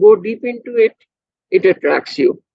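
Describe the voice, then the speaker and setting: A woman with a Bengali accent speaks at a moderate pace in a high pitch, her voice swinging very widely up and down. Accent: Indian English, Bengali. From India, Kolkata. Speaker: physicist, professor. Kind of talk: interview conversation.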